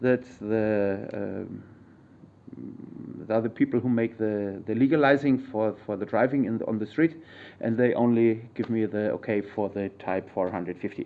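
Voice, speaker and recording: Medium-pitched male speech with a German accent, moderate pace and fairly even intonation. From Germany. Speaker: YouTuber, vehicle modder. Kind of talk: tutorial. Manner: halting.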